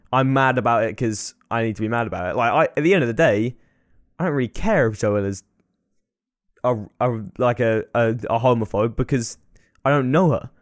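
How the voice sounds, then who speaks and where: A man in an English accent at medium pitch, fairly quick pace, ordinary pitch variation and long, frequent pauses, in a very clean recording with a silent background. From England. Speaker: podcast co-host. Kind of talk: casual chat. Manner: frequent laughter.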